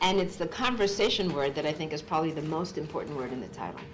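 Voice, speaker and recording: A woman with an American accent speaks with ordinary pitch variation, amid audible room echo and noticeable background noise. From Massachusetts, US. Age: 60s. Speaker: author and psychologist. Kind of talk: public talk.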